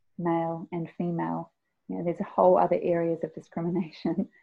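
A woman with a New Zealand accent, fairly low in pitch, at a moderate pace. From New Zealand (immigrated as a child). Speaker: singer-songwriter. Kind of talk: interview. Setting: remote call.

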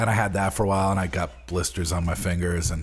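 Talking at a fairly quick pace, a man uses a very deep, low pitch with vocal fry. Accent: American. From Long Island, New York. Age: 40s. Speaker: bassist. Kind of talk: interview.

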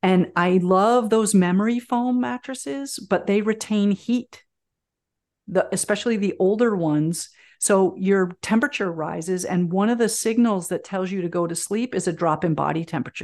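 A woman with a plain, everyday voice speaks at a medium pitch and a moderate pace. Her pitch variation is ordinary, and the background is quiet. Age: 50s. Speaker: herbalist and teacher. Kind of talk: interview conversation.

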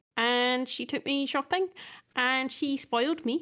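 A woman speaks in a Scottish accent with ordinary pitch variation. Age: 30s. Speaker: podcast co-host. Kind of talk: casual chat. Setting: remote call over the internet.

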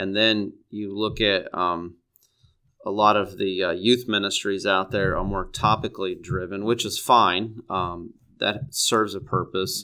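A man's bright, sharp voice, fairly low in pitch, at a fairly slow pace with a Midwestern American accent and fairly even intonation, on a very clean recording with a silent background. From East Central Illinois, US Midwest. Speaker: middle school Bible teacher, former pastor. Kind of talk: interview. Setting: studio.

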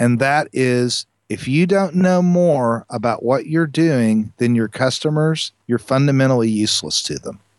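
In an American accent and a plain, everyday voice, a man speaks at a fairly slow pace with medium pitch, ordinary pitch variation and hardly any pauses. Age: 50s. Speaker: lighting parts company co-founder. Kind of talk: interview.

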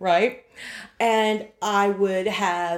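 Her pitch sits in the medium range for a woman, with ordinary variation. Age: 50s. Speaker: podcast co-host interviewer. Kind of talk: casual chat.

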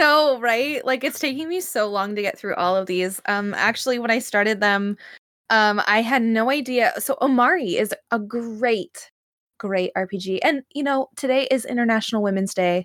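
A woman talks at a moderate pace in an ordinary speaking voice with fairly high pitch and ordinary pitch variation. The recording is very clean, with a silent background. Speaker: editor and podcast co-host. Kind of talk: casual chat.

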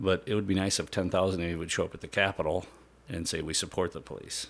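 In an Upper Midwest accent, a man with a very deep, low pitch talks at a fairly quick pace. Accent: Upper Midwest (Minnesota). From central Minnesota. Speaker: senior patrol police officer. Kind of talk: casual interview.

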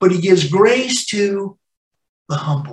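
Here a man speaks with a West Coast American accent. His pitch is high for a man, with ordinary variation. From US West Coast, Los Angeles. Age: 60s. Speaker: pastor. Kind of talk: sermon. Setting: church.

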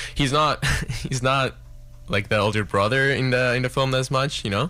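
A man with vocal fry at a moderate pace. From Mexico City. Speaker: cinematographer. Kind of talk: casual interview. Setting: radio studio.

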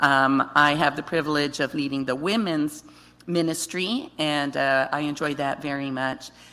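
Her pitch very deep and low, a woman speaks in a bright, sharp tone with fairly even intonation. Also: moderate pace. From Guatemala. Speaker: missionary wife. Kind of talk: testimony. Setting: church.

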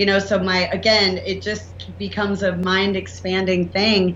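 A woman speaks at a moderate pace with an American accent. Noticeable background noise and audible room echo surround her voice. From US South. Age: 40s. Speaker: entrepreneur and inventor. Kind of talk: interview.

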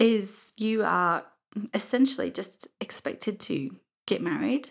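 Lively intonation and vocal fry mark this woman's medium-pitched voice. The recording is very clean, with a silent background. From England (southeast, then Yorkshire). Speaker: university student and mother. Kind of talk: casual interview chat.

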